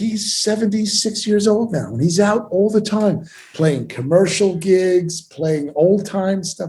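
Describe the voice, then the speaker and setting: A man's high voice with a dark, mellow tone and an American accent, fairly slow, with ordinary pitch variation. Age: 70s. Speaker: audio equipment company owner. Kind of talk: interview. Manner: animated.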